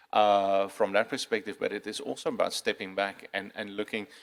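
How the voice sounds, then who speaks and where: A man with a non-native accent at a fairly quick pace. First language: not English. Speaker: cybersecurity panelist. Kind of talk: conference panel discussion. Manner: halting, many fillers and repeats.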